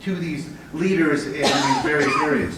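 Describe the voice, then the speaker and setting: A man with an American accent and a fairly high pitch speaks with fairly even intonation over noticeable background noise and audible room echo. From US, Connecticut. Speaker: business manager of a waste-to-energy facility. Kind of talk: conference presentation.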